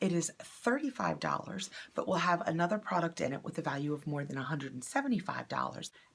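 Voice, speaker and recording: Vocal fry from a woman with a fairly low pitch at a fairly quick pace. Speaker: beauty box unboxing YouTuber. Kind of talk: product unboxing review. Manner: casual, conversational.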